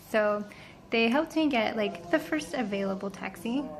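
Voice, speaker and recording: A woman's fairly high voice with lively intonation. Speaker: travel vlogger. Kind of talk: storytelling vlog. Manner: fast; animated.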